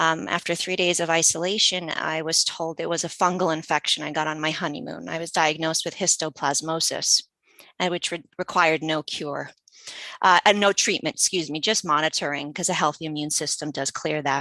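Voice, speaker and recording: Speaking at a fairly quick pace with an American accent, a woman has a bright, sharp tone, a fairly low pitch and fairly even intonation, with a dry, close sound with no echo and a quiet background. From US, Polish immigrant family. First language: Polish. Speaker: patient advocate. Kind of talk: interview. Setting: radio podcast.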